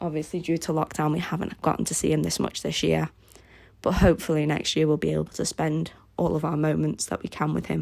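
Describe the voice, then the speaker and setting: On a very clean recording with a silent background, a woman speaks very fast in a Liverpool accent. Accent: Liverpool (Scouse) English. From Liverpool, England. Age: 20s. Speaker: craft YouTuber. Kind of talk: casual Q&A voiceover.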